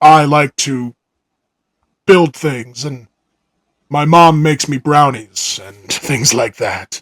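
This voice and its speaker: Using a put-on character voice, a man with a fairly high pitch speaks at a very slow pace, leaving long, frequent pauses. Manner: manly, alpha-male pose.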